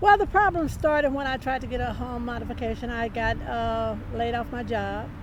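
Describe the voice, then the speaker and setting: A woman talks at a fairly quick pace with hardly any pauses. Audible room echo and noticeable background noise are present. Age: 70s. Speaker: evicted homeowner. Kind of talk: interview. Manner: hesitant, many fillers.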